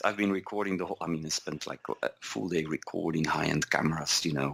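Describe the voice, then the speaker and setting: Delivered at a fairly quick pace, the speech carries a Flemish accent and ordinary pitch variation. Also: man. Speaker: software executive, podcast co-host. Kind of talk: casual chat.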